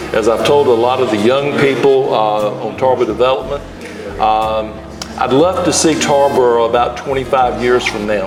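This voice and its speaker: Against noticeable background noise and audible room echo, a man speaks at a moderate pace and medium pitch with ordinary pitch variation. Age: 70s. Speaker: town councilman. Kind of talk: casual interview. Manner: halting, many fillers.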